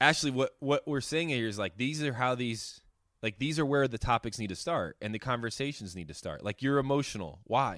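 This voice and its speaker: In a very clean recording with a silent background, a man uses an ordinary speaking voice with lively intonation at a fairly quick pace. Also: medium pitch for a man. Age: 30s. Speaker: podcast host. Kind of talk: casual chat.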